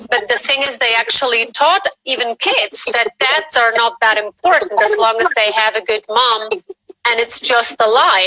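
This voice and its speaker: A woman with a non-native accent, her pitch fairly high and its variation ordinary. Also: moderate pace, very even loudness. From Spain. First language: not English. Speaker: guest caller on a live stream. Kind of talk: casual chat. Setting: live video stream. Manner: animated.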